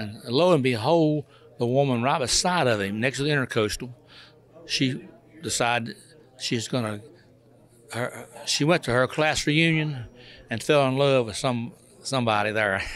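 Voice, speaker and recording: With a North Carolina accent, a man speaks at a moderate pace with ordinary pitch variation and long, frequent pauses. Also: medium pitch for a man. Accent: Southern US, North Carolina. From North Carolina, near Hickory. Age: 80s+. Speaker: retired truck driver. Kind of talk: interview. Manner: halting, repetitive.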